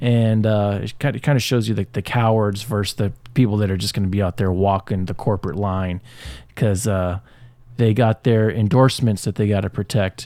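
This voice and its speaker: A man with an American accent speaks at a fairly low pitch in a dark, mellow tone, with ordinary pitch variation. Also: moderate pace, very clean recording, silent background. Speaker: podcast co-host. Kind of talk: opinionated sports talk podcast. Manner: opinionated, passionate.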